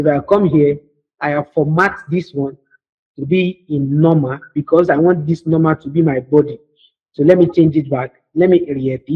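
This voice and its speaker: A man speaks in a somewhat breathy, fairly high voice, with fairly even intonation. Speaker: computer skills instructor. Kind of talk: live online tutorial. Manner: fast.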